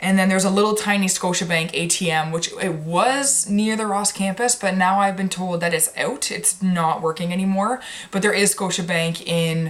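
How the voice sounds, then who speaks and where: Over noticeable background noise, a woman with a Canadian accent talks at a medium pitch with fairly even intonation and hardly any pauses. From Canada. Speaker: medical student vlogger. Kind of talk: casual vlog advice. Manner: fast.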